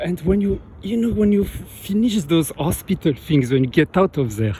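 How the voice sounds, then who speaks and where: A man speaks with a French accent. His pitch moves in very wide swings. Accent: French accent, noticeable. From France. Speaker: vlogger. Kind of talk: casual monologue. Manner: halting.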